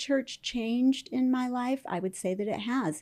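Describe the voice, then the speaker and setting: The voice has a dark, mellow tone and ordinary pitch variation at a fairly slow pace. The recording is very clean, with a silent background. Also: woman. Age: 60s. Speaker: author and podcast co-host. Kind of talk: interview conversation. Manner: halting.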